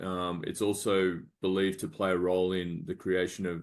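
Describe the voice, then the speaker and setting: Over a quiet background, a man with an Australian accent talks in a very deep, low pitch with monotone, flat intonation. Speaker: medical device startup founder. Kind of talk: business pitch presentation. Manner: halting, many fillers.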